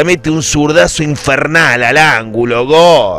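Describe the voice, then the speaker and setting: Over noticeable background noise, a man talks with a fairly high pitch and ordinary pitch variation. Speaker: football fan commentator. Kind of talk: sports commentary, nostalgic retelling of a match. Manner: animated, passionate fan-style delivery, shouting goals; emotional, epic, rhetorical.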